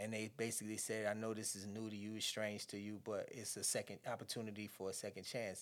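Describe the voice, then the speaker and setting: An American accent marks this man's fairly low voice. He talks very fast in a flat monotone, with hardly any pauses. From New Jersey. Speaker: former prisoner and author. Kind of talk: interview testimony.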